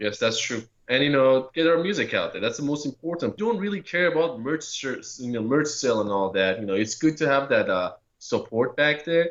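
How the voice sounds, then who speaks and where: Talking at a fairly quick pace with a non-native accent, a man uses a fairly high pitch and very wide pitch swings. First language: not English. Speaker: metal band guitarist and vocalist. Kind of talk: radio interview.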